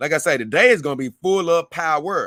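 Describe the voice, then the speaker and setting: Bright and sharp in tone, a man speaks in an animated way. The recording is very clean and silent behind him, with a dry, close sound and no echo. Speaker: livestream host. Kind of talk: casual livestream chat reading comments.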